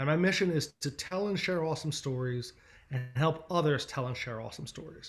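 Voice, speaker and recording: A man with an American accent, fairly high-pitched for a man, somewhat breathy, at a fairly quick pace with ordinary pitch variation. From Philadelphia, US. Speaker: agency founder and speaker. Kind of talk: presentation talk. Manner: fast.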